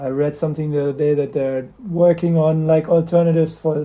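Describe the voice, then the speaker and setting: A man speaks with a German accent at a fairly high pitch. His intonation is monotone and flat. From Germany, Göttingen. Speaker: skateboarder and skatepark builder. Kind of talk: casual interview chat. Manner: halting, many fillers.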